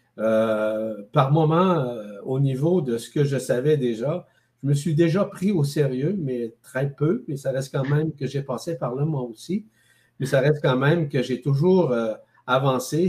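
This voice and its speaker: Somewhat breathy, with a dark, mellow tone, a man speaks at a fairly slow pace with ordinary pitch variation. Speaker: guest. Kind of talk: interview answer. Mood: calm, reflective. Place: home room.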